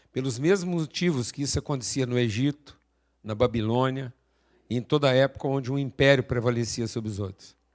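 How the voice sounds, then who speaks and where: A man speaks at a fairly quick pace in a medium pitch, with a plain, everyday voice. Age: 60s. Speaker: speaker at an event. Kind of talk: motivational talk. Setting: stage with audience.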